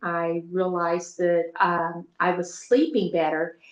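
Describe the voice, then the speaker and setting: Here is a plain, everyday voice with an American accent. The pace is fairly slow. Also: woman. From Texas. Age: 60s. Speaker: retired school teacher, product testimonial giver. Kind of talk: testimony.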